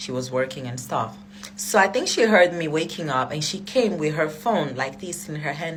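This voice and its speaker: A woman speaks with a non-native accent at a moderate pace. Background noise is noticeable. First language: not English. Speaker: social media personality telling story. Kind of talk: storytime monologue. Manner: casual, hesitant with fillers.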